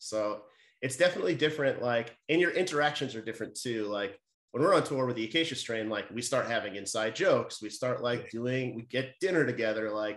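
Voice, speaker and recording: This man has an unremarkable speaking voice and an American accent, talking at a fairly quick pace with ordinary pitch variation. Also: medium pitch for a man. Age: 40s. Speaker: hardcore band musician. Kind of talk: casual chat. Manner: casual, many fillers and restarts.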